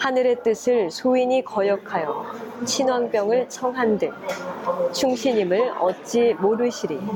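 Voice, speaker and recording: Noticeable background noise surrounds a woman's high voice. She speaks very slowly with ordinary pitch variation. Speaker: former announcer, university professor, reading guest. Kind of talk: ASMR reading of a classical text. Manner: calm, measured, soothing.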